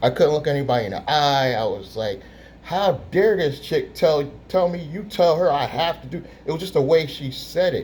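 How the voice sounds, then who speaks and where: With an animated tone and lively intonation, a man with a fairly high pitch and vocal fry speaks at a moderate pace. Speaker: YouTuber, business credit coach. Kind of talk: storytelling vlog. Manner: quiet, soft-spoken.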